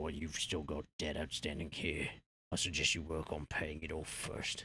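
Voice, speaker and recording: A man puts on a raspy character voice, very deep and low, delivered at a moderate pace. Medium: game stream. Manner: downcast, blunt.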